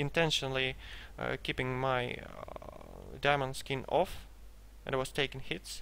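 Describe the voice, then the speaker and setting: With a Russian accent, a man speaks at a fairly slow pace. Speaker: gamer selling a game character. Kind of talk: gameplay commentary. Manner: hesitant, many fillers.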